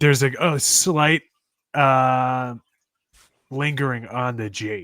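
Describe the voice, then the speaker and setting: With a bright, sharp tone, a man speaks at a very slow pace and a medium pitch. His pitch varies in an ordinary way, and long, frequent pauses fill his speech. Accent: American. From Long Island, New York. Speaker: sports podcast co-host. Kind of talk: casual chat.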